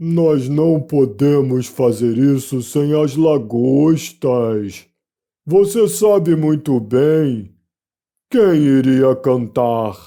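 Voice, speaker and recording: Using a put-on character voice, a man speaks at a very slow pace and medium pitch. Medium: read story. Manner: mournful, sighing.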